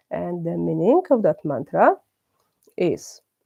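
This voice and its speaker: A woman speaks with a Polish accent in a dark, mellow tone. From Poland. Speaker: religious class teacher. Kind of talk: religious class. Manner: halting, many hesitations.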